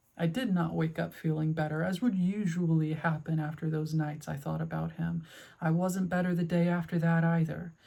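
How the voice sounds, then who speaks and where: A woman speaks at a moderate pace, fairly low in pitch and somewhat breathy, with a dark, mellow tone and fairly even intonation. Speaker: video essayist. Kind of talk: personal video essay. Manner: stuttering.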